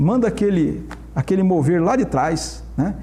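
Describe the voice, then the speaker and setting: A man talks with ordinary pitch variation. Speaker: pastor. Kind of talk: Bible study discussion. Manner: animated.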